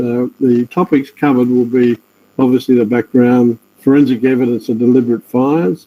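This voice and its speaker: Medium-pitched male voice in an Australian accent, moderate in pace, with fairly even intonation. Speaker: forensic scientist. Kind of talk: webinar lecture.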